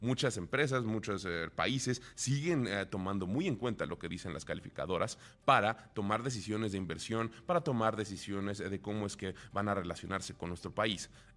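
Here is an unremarkable speaking voice, a man's at a fairly low pitch with ordinary pitch variation. He keeps a moderate pace with hardly any pauses on a very clean recording with a silent background. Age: 30s. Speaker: radio business news host. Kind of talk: radio news and interview.

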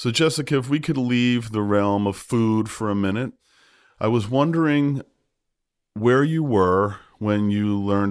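A man's normal speaking voice with lively intonation at a moderate pace, in a very clean recording with a silent background. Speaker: podcast host and therapist. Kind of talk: interview.

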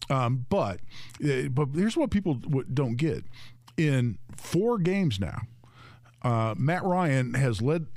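A medium-pitched man with an American accent, very slow pace and lively intonation, plus audible room echo. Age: 60s. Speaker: gun rights attorney, fill-in radio co-host. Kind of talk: talk radio chat.

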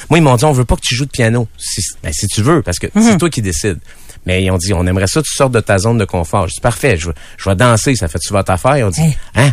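Talking at a very fast pace, a man with a fairly low pitch makes very wide pitch swings. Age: 40s. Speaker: musician and showman. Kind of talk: casual chat interview. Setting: radio studio.

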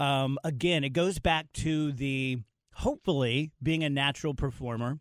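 In a very clean recording with a silent background and a dry, close sound with no echo, a man speaks in a plain, everyday voice at a moderate pace, his pitch fairly high, his intonation fairly even and his loudness very even. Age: 50s. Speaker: radio host and comedian. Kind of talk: interview. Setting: studio.

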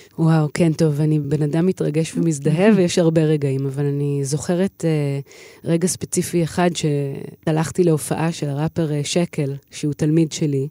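Hardly any pauses break up this fairly slow delivery. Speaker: singer and voice teacher. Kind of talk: interview. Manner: animated.

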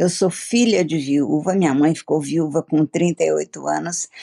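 A woman speaks with a dark, mellow tone. Her pitch varies in an ordinary way. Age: 70s. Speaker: ministry director. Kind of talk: interview.

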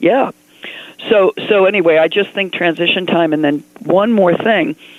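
A moderate pace and lively intonation over noticeable background noise. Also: woman. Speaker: caller. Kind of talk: call-in conversation. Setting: phone call.

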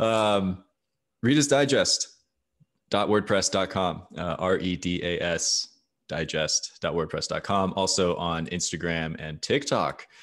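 In a quiet background, a man with an American accent speaks at a very deep, low pitch. His pace is fairly slow. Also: ordinary pitch variation. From Arizona. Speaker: writer and podcaster. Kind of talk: casual chat.

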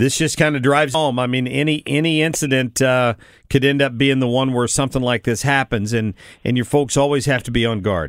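In a very clean recording with a silent background, a man speaks in an unremarkable speaking voice at a medium pitch and a fairly quick pace. His intonation is fairly even, with hardly any pauses. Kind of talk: radio host patter, a brisk formal show ID and break tag. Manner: crisp, even-toned and professional, announcer-like.

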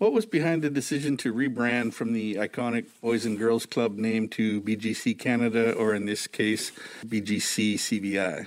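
A man speaks with a plain, everyday voice. He keeps a moderate pace with hardly any pauses. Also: medium pitch for a man, fairly even intonation. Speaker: newspaper editor and podcast host. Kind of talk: interview.

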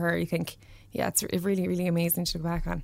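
Here is a woman with a Cork accent. Her pitch is fairly low. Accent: Cork Irish. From Ireland, Mallow, County Cork. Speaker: fashion stylist and interior designer. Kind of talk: casual chat.

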